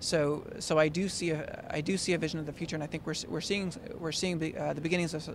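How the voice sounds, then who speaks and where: A man speaks in a fairly high voice with monotone, flat intonation. There is audible echo in the room. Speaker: tech company product director. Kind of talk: interview. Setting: conference event. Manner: fast; halting with many fillers.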